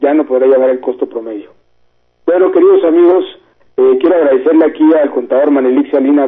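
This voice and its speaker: With a Mexican accent, a man speaks at a fairly quick pace. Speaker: radio host, tax accountant. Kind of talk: call-in radio Q&A on taxes.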